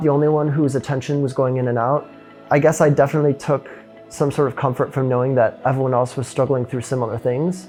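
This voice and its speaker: Over music in the background, a man talks at a very fast pace with a medium pitch and fairly even intonation. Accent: American. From Illinois, USA. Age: 20s. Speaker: physics student. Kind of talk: interview answer.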